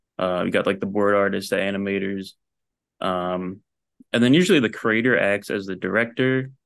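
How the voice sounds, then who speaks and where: A man with an American accent and an unremarkable speaking voice speaks at a moderate pace, fairly low in pitch with fairly even intonation, over a quiet background. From New Jersey. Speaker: animator and story artist. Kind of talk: casual chat.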